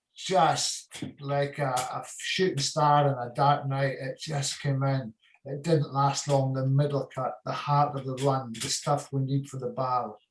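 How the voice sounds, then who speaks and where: A man's fairly high voice, monotone and flat in intonation, at a fairly slow pace. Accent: Hebridean. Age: 60s. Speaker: retired whisky distiller. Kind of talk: interview answer.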